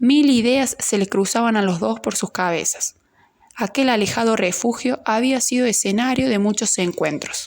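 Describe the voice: Someone does plain reading aloud, pitch moving in an ordinary way.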